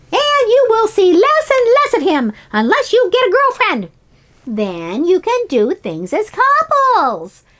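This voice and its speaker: A woman puts on a squeaky character voice at an extremely high pitch, speaking fairly slowly. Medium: read story. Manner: warm, teasing.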